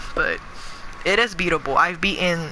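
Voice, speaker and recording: The tone is animated, with ordinary pitch variation. Background noise is noticeable. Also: woman. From New York City (Bronx, Queens), moved to California at 13. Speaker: gaming streamer. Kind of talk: live gameplay stream chat. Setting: live stream. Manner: casual, animated.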